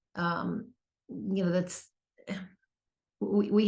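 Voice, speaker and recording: The speaker is a woman with vocal fry. She talks at a very slow pace. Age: 60s. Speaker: author and personal growth vlogger. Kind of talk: casual talk to camera. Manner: halting, many fillers.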